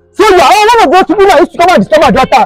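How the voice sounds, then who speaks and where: A man's voice sounds dry with no echo, while faint music plays in the background. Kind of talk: scripted comedy skit dialogue. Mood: angry, scolding, shouting. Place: street. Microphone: phone near.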